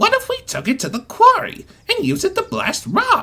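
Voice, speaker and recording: A squeaky put-on character voice, extremely high in pitch, at a moderate pace. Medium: audio drama. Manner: eager, scheming.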